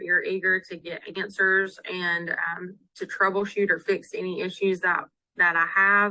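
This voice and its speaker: A woman with a Southern US accent, medium-pitched, bright and sharp in tone, flat and monotone, at a fairly slow pace. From US South. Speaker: town clerk. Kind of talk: webinar interview.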